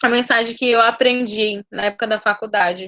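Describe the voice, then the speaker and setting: A woman speaks at a fairly quick pace with a high pitch. The sound is dry and close, without echo. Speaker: nursing teacher. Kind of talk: online lecture.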